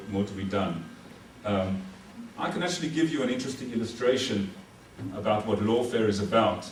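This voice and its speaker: A man with a South African accent speaks at a fairly low pitch with lively intonation. There is audible room echo and noticeable background noise. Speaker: military legal advisor. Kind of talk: lecture.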